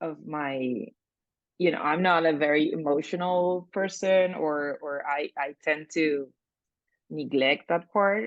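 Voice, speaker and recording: Speaking very slowly, a woman with a Spanish accent uses a very deep, low pitch with ordinary pitch variation. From Argentina. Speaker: coaching client. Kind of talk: reflective interview. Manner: halting.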